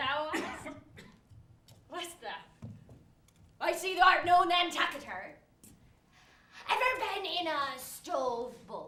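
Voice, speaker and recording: A woman does a put-on character voice, gruff and extremely high-pitched, with very wide pitch swings and big swings in loudness. She speaks at a fairly slow pace with long, frequent pauses, and there is slight echo. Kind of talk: archaic stage speech. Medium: stage play. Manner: gruff, blunt, old-fashioned thee and thou.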